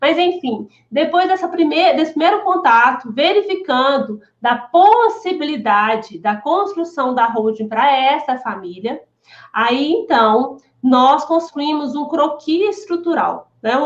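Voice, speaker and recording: A woman speaks at a fairly slow pace in a high voice. Her pitch swings very widely. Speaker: lawyer specializing in family holdings. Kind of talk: live stream Q&A. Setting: live video stream. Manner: halting, many repetitions.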